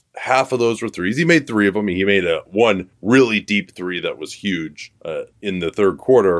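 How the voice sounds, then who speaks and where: In a very clean recording with a silent background, a man uses a normal speaking voice, fairly low in pitch, at a moderate pace with lively intonation. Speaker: basketball podcast host. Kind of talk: sports commentary.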